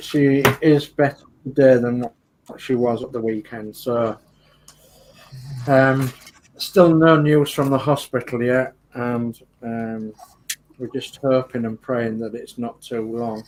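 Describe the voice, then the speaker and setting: A man with a Geordie accent speaks at a very slow pace and a medium pitch, his intonation fairly even. His loudness swings widely, and he leaves long, frequent pauses. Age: 50s. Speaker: model club show host. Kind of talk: casual chat.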